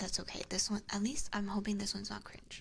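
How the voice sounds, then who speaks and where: A woman is whispering. Her voice is somewhat breathy. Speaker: VTuber streamer.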